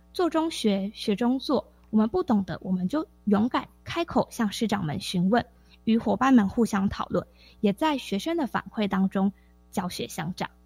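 Woman at a fairly high pitch with very wide pitch swings, moderate pace, dry, close sound with no echo, and music in the background. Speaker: teacher. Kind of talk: radio interview. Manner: crisp, precise enunciation.

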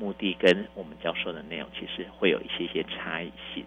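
A man speaks at a fairly low pitch. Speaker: primary school principal. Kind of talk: interview. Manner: halting.

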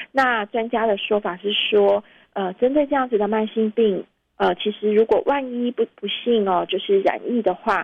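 A woman's fairly high voice carries fairly even intonation. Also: moderate pace. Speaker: fact-check editor. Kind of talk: interview. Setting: remote call-in.

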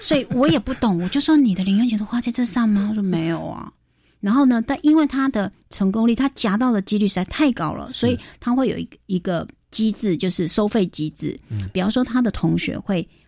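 A woman's somewhat breathy, dark, mellow voice at a fairly quick pace with lively intonation, on a very clean recording with a silent background. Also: fairly high pitch for a woman. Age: 40s. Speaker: financial expert. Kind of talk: radio interview.

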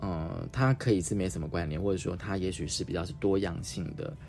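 Fairly quick speech from a man with a very deep, low pitch and audible room echo. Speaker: radio host. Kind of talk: casual interview.

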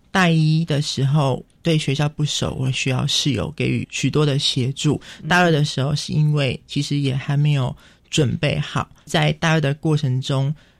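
Somewhat breathy, a man speaks at a fairly high pitch for a man in monotone, flat intonation with very even loudness. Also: moderate pace. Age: 20s. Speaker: visually impaired university student. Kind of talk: radio interview.

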